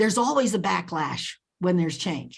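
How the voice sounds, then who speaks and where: With an American accent, a woman speaks at a moderate pace, somewhat breathy and with lively intonation, over a quiet background. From Nicaragua, raised in the US from age three. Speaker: leadership author and advocate. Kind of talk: interview. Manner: animated.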